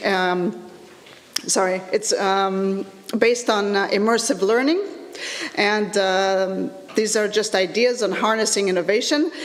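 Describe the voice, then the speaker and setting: A woman speaks at a medium pitch with ordinary pitch variation, keeping her loudness very even at a fairly slow pace. Long, frequent pauses break up her speech, and there is noticeable background noise plus audible room echo. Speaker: lecturer in educational technology. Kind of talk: conference presentation. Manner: halting, many fillers.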